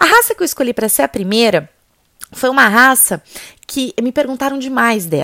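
Recorded very clean with a silent background and a dry, close sound with no echo, a woman speaks at a moderate pace in a bright, sharp tone with lively intonation. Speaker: podcast host and riding instructor. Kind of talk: educational monologue.

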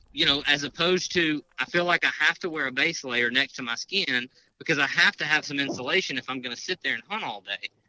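A man with a Southern US accent speaks at a fairly high pitch and a fairly quick pace. His tone is bright and sharp, and the sound is dry and close with no echo. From Mississippi. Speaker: hunter and outdoor gear expert. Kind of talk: casual interview.

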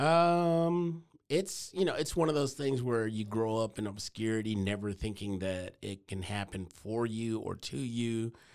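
Speaking in a normal speaking voice, a man with an American accent keeps a medium pitch and lively intonation with hardly any pauses. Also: fairly slow pace. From Texas (Waco). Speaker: podcast creator. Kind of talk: casual chat.

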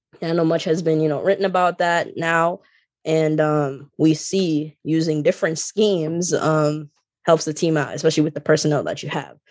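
Monotone, flat intonation at a moderate pace, in a very clean recording with a silent background. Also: woman, very deep, low pitch for a woman. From Jamaica. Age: 20s. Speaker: podcast guest, basketball commentator. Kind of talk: casual chat.

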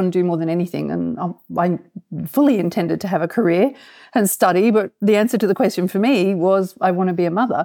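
A woman talks at a very fast pace with an Australian accent. Her voice has a medium pitch, ordinary pitch variation and a dark, mellow tone. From Australia, Canberra. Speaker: theatre producer. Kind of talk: interview. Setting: remote call.

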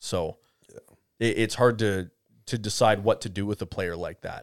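A man with a normal speaking voice, fairly quick pace and ordinary pitch variation, in a very clean recording with a silent background and a dry, close sound with no echo. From Canada. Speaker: podcast co-host, hockey talk. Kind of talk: casual chat. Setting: studio.

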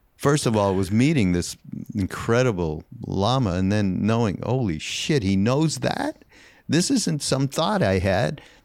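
A plain, everyday voice from a man, fairly low-pitched, lively in intonation, at a fairly slow pace with very even loudness, on a very clean recording with a silent background. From Canada. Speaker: podcast host and spiritual teacher. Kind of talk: casual interview conversation.

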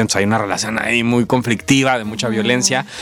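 A man's voice at a medium pitch. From Mexico, Villahermosa, Tabasco. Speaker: actor. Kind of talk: interview.

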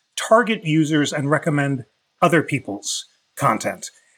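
A man with an ordinary speaking voice talks at a moderate pace, his pitch fairly high and his intonation lively. The recording is very clean, with a silent background. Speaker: constitutional law expert. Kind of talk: expert interview discussion.

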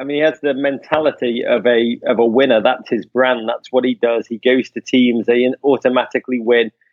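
Speaking in an English accent, a man keeps a moderate pace with hardly any pauses. His pitch is medium. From England. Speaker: soccer podcast host. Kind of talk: casual chat. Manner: animated.

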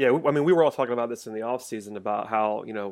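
The recording is very clean, its background silent. In it, a man speaks at a very fast pace. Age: 20s. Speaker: podcast host. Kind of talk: casual chat.

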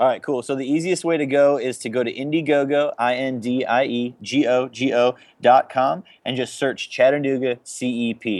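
This man has a normal speaking voice at a medium pitch. His pace is moderate. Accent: American. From Chicago, US Midwest. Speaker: pro paintball team captain. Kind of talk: casual interview chat.

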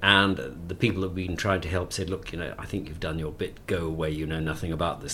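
A man with a very deep, low voice speaks with ordinary pitch variation over noticeable background noise. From South Africa, Cape Town. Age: 60s. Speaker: author and former journalist. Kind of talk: interview.

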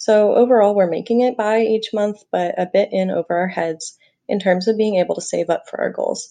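Against a quiet background, a woman with an American accent speaks at a fairly quick pace. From US Pacific Northwest (Portland, Oregon). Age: 20s. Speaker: listener asking a question. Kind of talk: recorded voicemail question.

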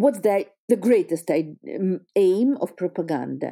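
In a very clean recording with a silent background, a woman with a Russian accent talks at a fairly slow pace, her pitch swinging very widely. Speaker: history teacher. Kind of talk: interview. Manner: halting.

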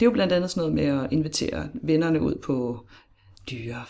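A woman with a very deep, low pitch speaks in a dark, mellow tone with vocal fry. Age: 30s. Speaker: podcast guest sharing personal story. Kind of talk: casual interview conversation.

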